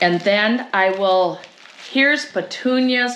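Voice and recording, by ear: Her tone is fairly bright, and the woman's intonation is lively. Room echo is audible.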